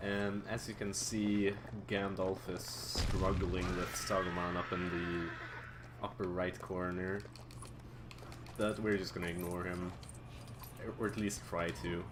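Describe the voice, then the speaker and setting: Speaking at a very slow pace with long, frequent pauses, a man with a non-native accent uses a very deep, low pitch and fairly even intonation amid audible room echo. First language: not English. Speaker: speedrunner. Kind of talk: live gameplay commentary. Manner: casual, halting with repetitions.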